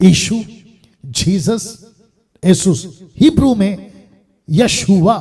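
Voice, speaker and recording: An animated, high-pitched man with a Telangana accent. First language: Telugu (speaking Hindi). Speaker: preacher. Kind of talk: sermon.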